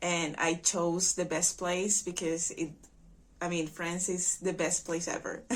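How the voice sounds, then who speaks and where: A woman with a Spanish accent speaks slowly, at a fairly low pitch, in a monotone, flat intonation. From Venezuela. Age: 20s. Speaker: au pair. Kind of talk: testimony.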